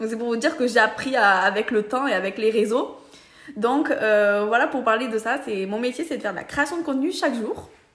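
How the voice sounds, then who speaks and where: Noticeable background noise surrounds a woman with a Roussillon accent. Her pitch is fairly high, her pace fairly quick, and her pitch variation ordinary. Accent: southern French (Perpignan). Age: 20s. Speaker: social media seller, beauty brand ambassador. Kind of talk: casual explainer vlog.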